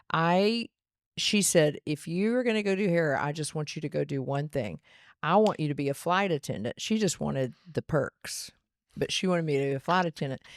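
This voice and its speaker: A woman talks at a fairly quick pace in a fairly low pitch, with lively intonation and an American accent. The recording is very clean, with a silent background and a dry, close sound with no echo. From Texas, Dallas area (Garland). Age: 60s. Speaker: salon owner and hairdresser. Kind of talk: casual interview chat.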